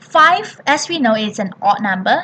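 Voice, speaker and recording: A woman's lively intonation and fairly slow pace come through noticeable background noise. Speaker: primary school maths teacher. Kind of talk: tutorial.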